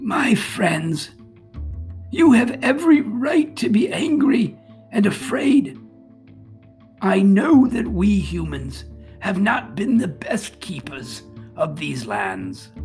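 A put-on character voice with a fairly high pitch moves at a very slow pace over faint music in the background.

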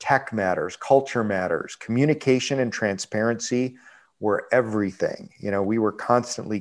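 A plain, everyday voice with an American accent, ordinary pitch variation, and a moderate pace, in a very clean recording with a silent background. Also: man. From Buffalo, New York. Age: 50s. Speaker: restaurant chain CEO. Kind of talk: interview.

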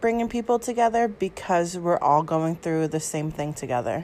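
A woman with a plain, everyday voice and an American accent speaks at a fairly low pitch with ordinary pitch variation. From New York. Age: 20s. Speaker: interviewee. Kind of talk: casual spoken answers.

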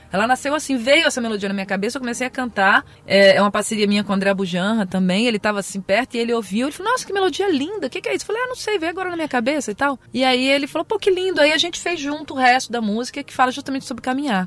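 Amid noticeable background noise, a woman with a high pitch speaks at a very fast pace with very wide pitch swings and hardly any pauses. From Brazil, Brasília. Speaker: singer. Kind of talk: interview. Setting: studio.

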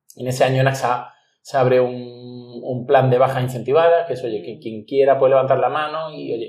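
A man in an ordinary speaking voice, at a moderate pace with fairly even intonation. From Andalusia, Spain (Ronda, Málaga). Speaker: headhunter, entrepreneur. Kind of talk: interview.

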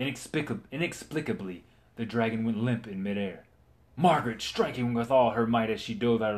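An unforced reading voice carries the clip. The delivery stays an unforced reading voice.

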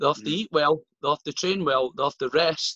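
A bright, sharp tone in a Scottish accent at a moderate pace, dry and close with no echo. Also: man. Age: 30s. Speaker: strength athlete and coach. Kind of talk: casual chat.

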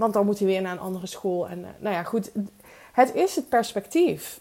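Dark and mellow in tone, a woman's medium-pitched voice carries lively intonation. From Netherlands, Limburg (Weert). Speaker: podcast host, business coach. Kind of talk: solo podcast monologue.

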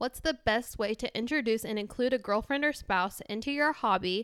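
A woman talks with lively intonation at a fairly high pitch, in a plain, everyday voice. The recording is very clean, with a silent background. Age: 20s. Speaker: podcast co-host. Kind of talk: casual chat.

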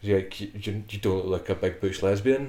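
Here a man talks with a Scottish accent at a moderate pace. His intonation stays fairly even. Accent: Scottish (Fife). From Scotland, Fife. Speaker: podcast host and powerlifting coach. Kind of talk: casual chat. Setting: studio in Edinburgh.

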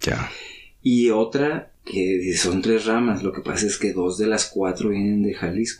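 At a fairly slow pace, a man with an unremarkable speaking voice talks in a fairly low pitch, keeping very even loudness and fairly even intonation. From Mexico City. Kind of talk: casual chat over drinks.

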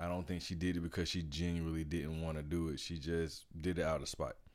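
A man speaks in a playful tone at a fairly quick pace, his very deep, low pitch captured on a very clean recording with a silent background. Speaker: podcast host. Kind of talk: casual chat. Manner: joking, playful.

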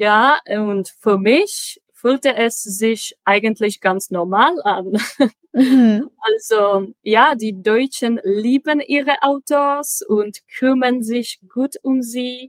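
A woman with a Czech accent talks very slowly in a high voice with lively intonation. The sound is dry and close, with no echo. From Czech Republic, Prague. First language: Czech (speaking German). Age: 20s. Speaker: logistics dispatcher, German learner. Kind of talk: interview. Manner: halting, many fillers.

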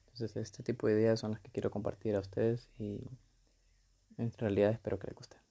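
A man's dark, mellow voice at a very fast pace, monotone and flat in intonation, with long, frequent pauses and big swings in loudness. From Honduras. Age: 20s. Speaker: podcaster. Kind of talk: solo monologue. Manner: hesitant, many fillers.

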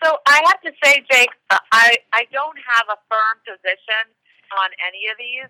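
With a high pitch, a woman talks at a fairly slow pace in a bright, sharp tone and lively intonation, the sound dry and close with no echo. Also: big swings in loudness. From US Northeast, Westchester New York. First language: Hungarian. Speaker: politician. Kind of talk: interview.

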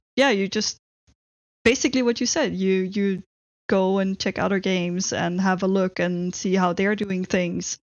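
A woman in a Dutch accent at a medium pitch, moderate pace and fairly even intonation. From Netherlands. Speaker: software engineer. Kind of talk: interview.

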